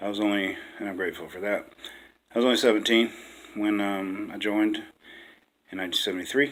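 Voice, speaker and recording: A man speaks very fast with fairly even intonation. His loudness swings widely, and he takes long, frequent pauses. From West Virginia, small rural town. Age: 60s. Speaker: dating-site profile video maker, veteran. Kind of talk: casual personal self-introduction. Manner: halting, many fillers.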